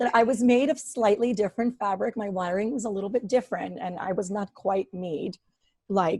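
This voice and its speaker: Recorded with a dry, close sound and no echo, a woman speaks in a medium pitch with ordinary pitch variation and a somewhat breathy, dark, mellow tone. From Ukraine. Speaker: business operations professional. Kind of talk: interview conversation. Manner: hesitant, many fillers.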